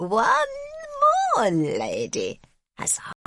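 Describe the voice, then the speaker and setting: A croaky, female-sounding put-on character voice. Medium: read story. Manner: broken English, terse.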